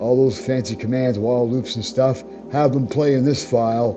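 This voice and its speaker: A man talks at a moderate pace and medium pitch with ordinary pitch variation. Music plays in the background. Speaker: Python programming tutor. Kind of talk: casual screen-recorded coding tutorial. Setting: home microphone, modest quality. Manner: natural speaking voice, not a robot voice.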